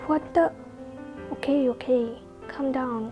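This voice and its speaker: The intonation stays fairly even while music plays in the background. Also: woman. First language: not English. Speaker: fanfiction narrator. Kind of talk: read story.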